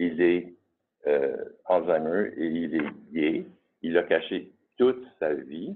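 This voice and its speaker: A man speaks very slowly at a very deep, low pitch, with long, frequent pauses. His pitch varies in an ordinary way. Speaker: volunteer. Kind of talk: testimony.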